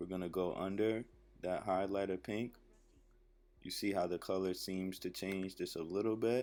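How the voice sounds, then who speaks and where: The man's pitch is very deep and low, and his intonation is monotone and flat. He leaves long, frequent pauses. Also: moderate pace. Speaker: rapper. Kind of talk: comedic voiceover narration of a makeup tutorial. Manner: laid-back, joking.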